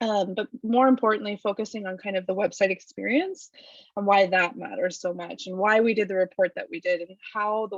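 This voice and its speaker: An ordinary speaking voice, a woman's at medium pitch, moves at a fairly quick pace with fairly even intonation in a dry, close sound with no echo. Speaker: webinar panelist, govtech company staff. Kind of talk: webinar presentation.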